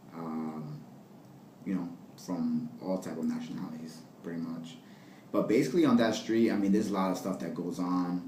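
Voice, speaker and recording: In an American accent, a man speaks at a moderate pace with a very deep, low pitch, ordinary pitch variation and long, frequent pauses. Room echo is audible and the background noise is noticeable. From US, New Jersey (Passaic). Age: 20s. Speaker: interviewee. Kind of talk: interview. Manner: halting, many fillers.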